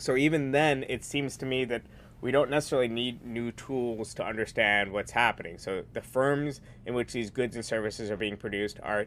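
In an American accent, an unremarkable speaking voice moves at a moderate pace. The intonation is fairly even. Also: man. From New York. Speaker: magazine editor and author. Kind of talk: casual discussion.

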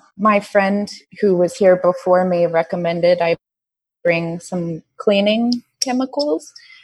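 At a fairly slow pace, a woman with an American accent speaks in a plain, everyday voice at a medium pitch with ordinary pitch variation. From United States. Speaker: online teacher in quarantine. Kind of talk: casual interview.

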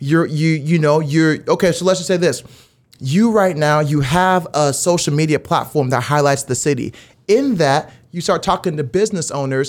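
Fairly high-pitched male voice with ordinary pitch variation at a moderate pace. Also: very clean recording, silent background. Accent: American. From Las Vegas, Nevada, US; high school in Dallas, Texas. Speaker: media company CEO and sports emcee. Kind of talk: casual interview conversation. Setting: studio. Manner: animated.

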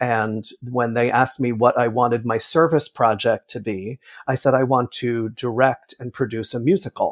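A man with an ordinary speaking voice talks at a moderate pace and medium pitch with fairly even intonation, in a very clean, dry, close recording with no echo and a silent background. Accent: American. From New Jersey. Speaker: theatre director. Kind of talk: interview.

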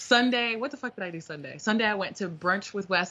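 A woman talks fairly quickly in a normal speaking voice, her pitch varying in an ordinary way. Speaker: podcast co-host. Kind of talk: casual chat.

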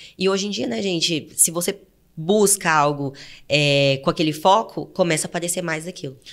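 The speaker has a Goiás accent and talks at a moderate pace. Pitch varies in an ordinary way. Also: woman, fairly low pitch for a woman. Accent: Goiás countryside. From interior of Goiás, Brazil. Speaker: travel podcast co-host. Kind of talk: casual chat.

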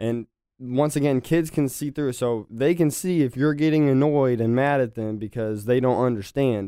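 On a very clean recording with a silent background, a man at medium pitch speaks in a dark, mellow tone with ordinary pitch variation. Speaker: martial arts instructor. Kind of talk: casual chat. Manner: fast.

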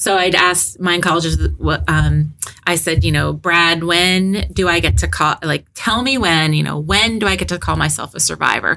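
Over noticeable background noise, a woman speaks at a moderate pace with hardly any pauses. Her loudness stays very even. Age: 50s. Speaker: HR director, cancer survivor. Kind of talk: interview.

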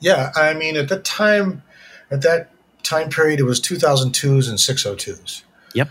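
A man speaks in a normal speaking voice with an American accent, his pitch fairly high. His pace is fairly slow, with ordinary pitch variation. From upstate New York, Syracuse. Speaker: former cymbal company artist relations manager. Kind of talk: casual interview chat.

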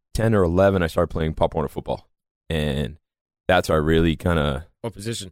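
A man with a very deep, low voice, an American accent, ordinary pitch variation and a fairly quick pace, on a very clean recording with a silent background and a dry, close sound with no echo. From Massachusetts, north of Boston. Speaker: professional mixed martial artist and former lacrosse player. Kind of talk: casual podcast interview.

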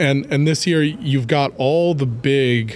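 In an unremarkable speaking voice, a man talks at a medium pitch and fairly slow pace with ordinary pitch variation. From Ohio, US Midwest. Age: 30s. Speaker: clean energy company executive, chemist. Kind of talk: interview.

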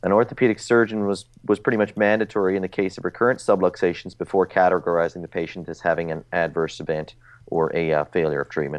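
Ordinary pitch variation comes with a slight Newfoundland accent. The pace is very fast. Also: man, very deep, low pitch for a man. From Newfoundland, Canada. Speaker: orthopedic surgeon. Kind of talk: casual interview, journal review.

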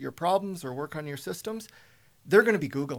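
In a Canadian accent, a man with an unremarkable speaking voice and a fairly high pitch talks with lively intonation over a silent background in a very clean recording. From Alberta, Canada (Spruce Grove). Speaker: software business owner. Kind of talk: radio interview.

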